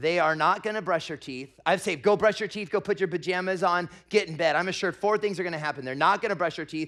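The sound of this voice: An unforced reading voice with ordinary pitch variation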